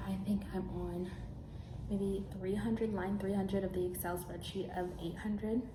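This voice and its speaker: A woman whispering at a moderate pace, with audible room echo and noticeable background noise. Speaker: vlogger and college intern. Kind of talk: vlog. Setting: office loft.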